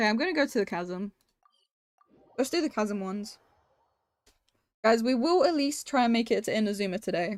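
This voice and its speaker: A woman with a non-native accent talks at a fairly quick pace in a fairly high pitch, with lively intonation and long, frequent pauses. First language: not English. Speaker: video game streamer. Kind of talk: live stream commentary. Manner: casual, chatty.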